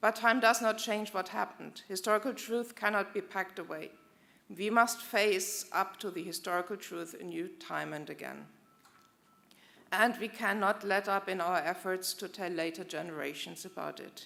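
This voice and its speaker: A woman with a medium pitch and a bright, sharp tone uses fairly even intonation, vocal fry and big swings in loudness. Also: moderate pace. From Germany. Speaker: German diplomat. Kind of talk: formal commemorative speech. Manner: formal.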